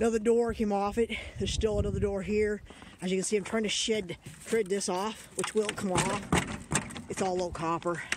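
At a fairly quick pace, the voice comes through dry with no echo over loud background noise. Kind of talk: casual vlog chat. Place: open country. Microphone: phone near.

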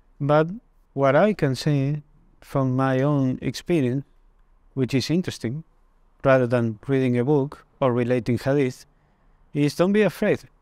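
With a Spanish accent and a fairly high pitch, a man speaks at very even loudness with long, frequent pauses and ordinary pitch variation, the sound dry with no echo over a quiet background. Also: moderate pace. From Argentina, Mendoza; Argentina. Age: 30s. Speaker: interviewee. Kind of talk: testimony; interview answer. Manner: halting. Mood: calm, reflective. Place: studio. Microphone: lapel.

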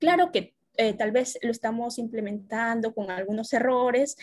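A woman's somewhat breathy voice is heard with a quiet background. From Peru. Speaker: workshop participant. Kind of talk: audience question. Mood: calm, reflective. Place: home room. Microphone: video call.

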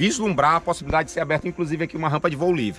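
A man talks with ordinary pitch variation in a dry sound with no echo, faint music playing in the background. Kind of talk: casual vlog chat. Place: street. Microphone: phone near.

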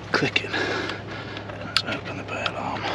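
Loud background noise runs beneath the man's voice. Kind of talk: casual vlog commentary. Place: waterside. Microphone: camera far.

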